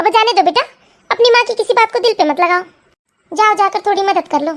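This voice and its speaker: In a cartoonish character voice, a woman talks at a very fast pace with an extremely high pitch and ordinary pitch variation, the sound dry and close with no echo. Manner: warm, motherly.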